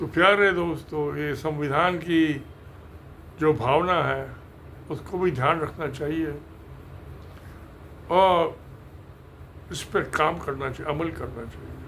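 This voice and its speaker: Pausing long and often, a man with a fairly high pitch speaks in big swings of loudness amid audible room echo. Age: 80s+. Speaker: engineer and video creator. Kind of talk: casual talk to camera. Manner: halting.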